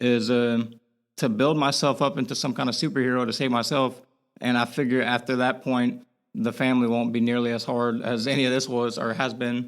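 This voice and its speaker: A man speaks at a medium pitch and a fairly quick pace, his loudness very even. His intonation is flat and monotone, and the recording is very clean with a silent background. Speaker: spinal cord injury survivor and motivational channel owner. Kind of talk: podcast interview.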